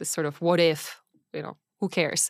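A woman speaks with a Czech accent. Her intonation is monotone and flat. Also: very clean recording, silent background. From Czech Republic. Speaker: venture capital partner. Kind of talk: casual interview. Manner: hesitant, many fillers.

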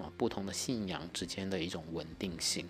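This is a man's voice. His pitch is very deep and low, with ordinary variation. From Guangdong, China (Haifeng roots). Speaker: podcast host. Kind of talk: personal monologue.

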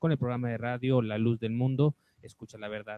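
Using an ordinary speaking voice, a man talks fairly quickly. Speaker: radio announcer. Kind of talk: radio announcement. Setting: radio studio.

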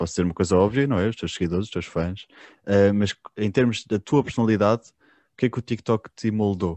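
A man's fairly low voice in a European Portuguese accent, with fairly even intonation and a quiet background. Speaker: podcast host. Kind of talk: casual interview.

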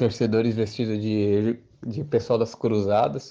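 A man speaks at a medium pitch with a dark, mellow tone. His intonation is monotone and flat, and his pace is moderate. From Brazil, Santo André (Greater São Paulo). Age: 20s. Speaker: football fan. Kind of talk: recorded testimony.

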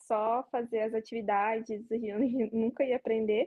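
Talking at a very slow pace, a woman has a fairly high-pitched, dark, mellow voice with fairly even intonation, recorded with a dry, close sound and no echo. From interior of São Paulo state, Brazil. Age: 20s. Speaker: former au pair. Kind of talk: casual interview.

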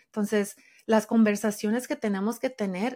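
A woman speaks at a fairly quick pace with a fairly high pitch, recorded very cleanly against a silent background. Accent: Spanish. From Mexico. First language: Spanish. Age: 40s. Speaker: sociologist and intuitive eating coach. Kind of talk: interview.

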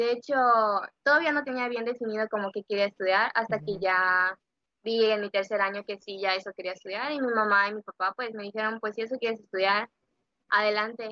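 A woman with a plain, everyday voice talks at a fairly quick pace and a fairly high pitch, her intonation fairly even. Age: 20s. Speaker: social work student. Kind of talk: casual interview chat. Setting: at home, remote recording.

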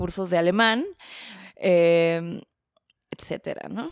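A woman speaks at a medium pitch and a very slow pace. The sound is dry and close with no echo. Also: very clean recording, silent background. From Mexico City. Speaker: journalist and documentary maker. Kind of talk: casual interview chat.

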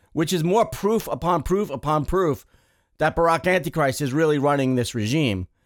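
An unremarkable speaking voice, a man's with fairly high pitch and lively intonation at a moderate pace, on a very clean recording with a silent background. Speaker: radio co-host. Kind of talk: live talk radio show.

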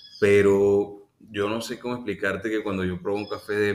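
Here a man talks at a fairly slow pace. His voice is very deep and low. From Venezuela. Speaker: coffee entrepreneur. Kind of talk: interview.

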